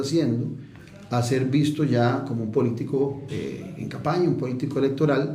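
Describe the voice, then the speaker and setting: This voice, with a Costa Rican accent, moves at a moderate pace with fairly even intonation. Noticeable background noise and audible room echo are present. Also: man. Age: 60s. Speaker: politician and political analyst. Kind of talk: radio interview. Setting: radio studio.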